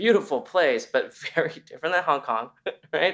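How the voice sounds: A man's fairly high-pitched voice, fairly bright in tone, with lively intonation and a moderate pace.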